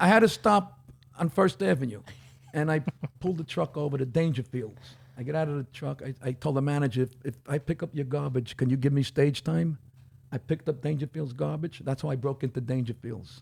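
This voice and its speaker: This man talks at a fairly quick pace in a fairly high, somewhat breathy voice. His pitch varies in an ordinary way. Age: 60s. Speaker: comedian. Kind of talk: casual chat.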